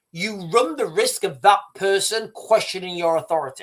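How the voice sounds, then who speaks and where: A man with a British accent speaks at a fairly slow pace in a high pitch. His tone is animated. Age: 50s. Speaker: YouTube commentator. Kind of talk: live stream commentary.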